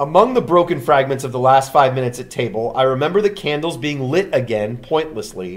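Natural-voiced reading of a text aloud

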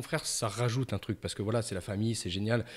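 Against a quiet background, a man speaks very fast in a somewhat breathy voice. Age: 40s. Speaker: carp angler; podcast guest. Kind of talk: casual interview; interview answer. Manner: halting, many fillers. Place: studio. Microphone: studio mic.

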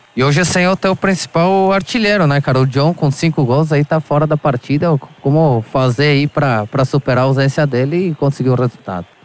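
A man's plain, everyday voice, fairly high in pitch and fairly quick, at very even loudness, with a dry, close sound and no echo. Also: ordinary pitch variation, hardly any pauses. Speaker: pitchside sports reporter. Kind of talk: live commentary. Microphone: faulty, cutting out.

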